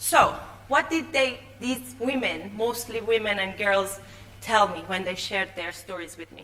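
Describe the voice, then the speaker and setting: A woman talks at a fairly slow pace. Audible room echo and noticeable background noise come through. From Iran. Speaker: confidence coach and TV producer. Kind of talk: conference talk. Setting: stage with audience. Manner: halting.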